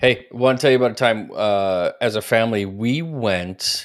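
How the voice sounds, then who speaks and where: Recorded very cleanly against a silent background, a man with a plain, everyday voice speaks at a fairly slow pace, with medium pitch and ordinary pitch variation. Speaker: church podcast host. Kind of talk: casual chat. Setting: livestream video.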